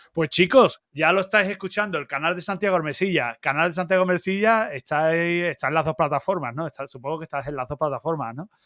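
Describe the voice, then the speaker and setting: A very fast man's voice in an Andalusian accent, high-pitched with a bright, sharp tone, ordinary pitch variation and hardly any pauses, dry and close with no echo over a quiet background. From Andalusia, Algeciras. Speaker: YouTube channel host. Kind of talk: live-stream interview. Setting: live stream.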